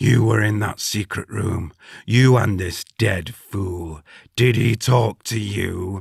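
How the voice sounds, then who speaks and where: Using a put-on character voice, a man growls and bellows in a booming, fairly low pitch. He goes at a fairly slow pace with ordinary pitch variation. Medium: read story. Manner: wild, raving, laughs madly.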